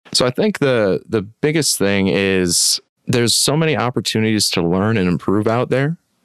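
In an American accent, a man speaks at a medium pitch and moderate pace, his intonation lively and his loudness very even, with a plain, everyday voice. The sound is dry and close, with no echo. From West Michigan. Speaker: water treatment professional. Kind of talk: casual interview.

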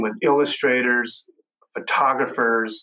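Speaking in a Texan accent, a man talks at a fairly slow pace in a bright, sharp tone. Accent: Texan American. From West Texas. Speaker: graphic designer. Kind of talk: interview conversation. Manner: halting, many fillers and repetitions.

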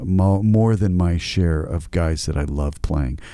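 At a fairly slow pace, a man with a very deep, low pitch speaks in a dark, mellow tone with lively intonation. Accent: American. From United States. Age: 50s. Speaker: actor. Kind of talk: casual chat.

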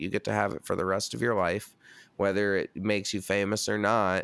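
This man talks at a very fast pace in a fairly low pitch. The sound is dry and close, with no echo. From US Northeast (New York State). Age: 30s. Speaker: metal band singer and podcaster. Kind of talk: casual chat.

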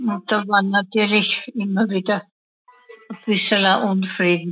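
A woman speaks fairly slowly at a medium pitch in a monotone, flat delivery, with a dry, close sound and no echo. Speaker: senior interviewee. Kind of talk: personal reminiscence.

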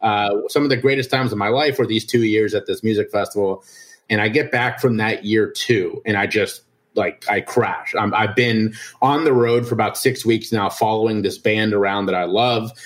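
A man with an American accent speaks at a moderate pace in an unremarkable speaking voice. His pitch sits at medium, with fairly even intonation. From Ohio, Cincinnati. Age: 30s. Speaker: addiction and mental health advocate. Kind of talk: interview testimony.

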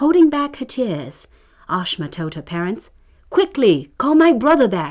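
At a fairly slow pace, the speaker's dark, mellow voice moves through very wide pitch swings. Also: woman. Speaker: radio storyteller. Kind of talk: fairy-tale narration. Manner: measured, storytelling cadence.

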